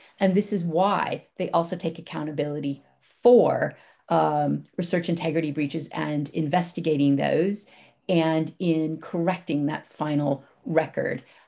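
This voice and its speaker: Her voice is very deep and low, with a dark, mellow tone. The woman speaks at a fairly slow pace with fairly even intonation. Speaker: publishing industry representative. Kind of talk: conference presentation.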